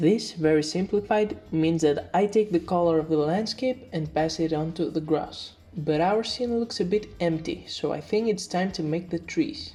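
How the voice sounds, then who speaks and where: With music in the background, a woman talks at a moderate pace with hardly any pauses, her fairly low voice moving in lively intonation. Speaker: indie game developer. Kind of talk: devlog tutorial narration.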